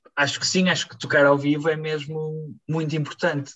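The speaker is a man with a fairly high pitch. He keeps a moderate pace and monotone, flat intonation. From Portugal, Barcelos. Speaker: musician. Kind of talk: interview.

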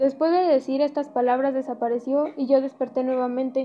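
Speaking at a moderate pace, a woman keeps a high pitch in a monotone, flat intonation. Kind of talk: dramatic storytelling narration of a legend. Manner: measured, solemn storyteller pace.

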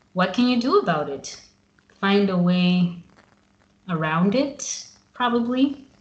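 A somewhat breathy woman with an American accent at a medium pitch, lively intonation, a very slow pace and long, frequent pauses. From Zimbabwe. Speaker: podcast host. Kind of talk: casual interview. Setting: remote call.

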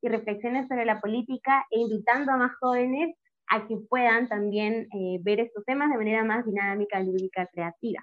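Fairly high in pitch with ordinary pitch variation, a woman talks in an ordinary speaking voice. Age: 20s. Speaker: political commentator and social media creator. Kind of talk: podcast interview.

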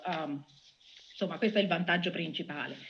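A woman speaks in an ordinary speaking voice at a medium pitch with ordinary pitch variation. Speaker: data scientist. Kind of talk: interview.

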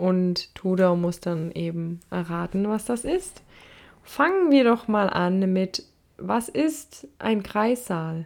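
A woman's medium-pitched voice carries lively intonation while she talks at a very slow pace. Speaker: podcast co-host. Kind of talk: casual chat.

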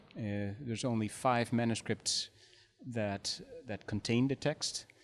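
This man talks at a fairly slow pace with a Dutch accent. His pitch is medium and his intonation fairly even. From Netherlands. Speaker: history professor. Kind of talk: interview.

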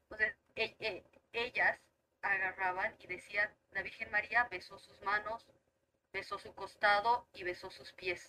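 A woman's medium-pitched, bright, sharp voice at a fairly slow pace, with fairly even intonation, big swings in loudness, and long, frequent pauses. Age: 30s. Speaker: teacher. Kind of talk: casual chat.

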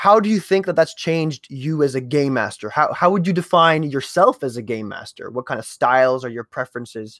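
With lively intonation, a man speaks at a fairly quick pace in a fairly high pitch. The very clean recording has a silent background and a dry, close sound with no echo. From French Canada. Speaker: podcast host, game master. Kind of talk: casual chat. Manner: animated.

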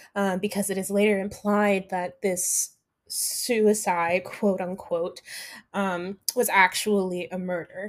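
At a very slow pace, a woman speaks at a medium pitch with fairly even intonation. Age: 20s. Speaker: dramaturg. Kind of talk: interview. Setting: at home.

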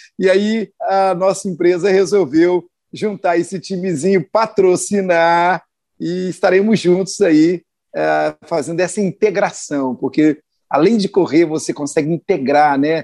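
Against a quiet background, a man with a high pitch and a dark, mellow tone speaks at a fairly slow pace with ordinary pitch variation, the sound dry and close with no echo. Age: 50s. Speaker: business owner and radio commentator. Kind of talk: radio interview.

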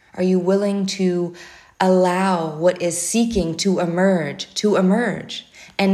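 Speaking at a fairly slow pace, a woman has a warm tone, a medium pitch and a monotone, flat intonation. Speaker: spiritual prayer leader. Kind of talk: fervent spoken prayer, rising string of searching rhetorical questions. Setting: outdoors, birds audible. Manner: earnest, impassioned, repeating questions with mounting urgency; warm and affectionate, unhurried with breathing pauses.

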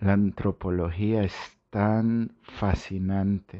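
A man is talking. His intonation is monotone and flat. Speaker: health podcast host. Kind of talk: monologue podcast. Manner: halting with repetitions.

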